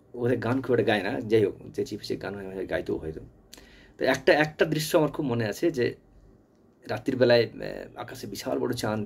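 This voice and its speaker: Lively in intonation, a man speaks with vocal fry and big swings in loudness. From West Bengal, India. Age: old. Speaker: channel owner reminiscing; storyteller. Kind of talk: personal reminiscence monologue. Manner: halting. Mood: nostalgic, warm, smiling. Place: home room. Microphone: phone near.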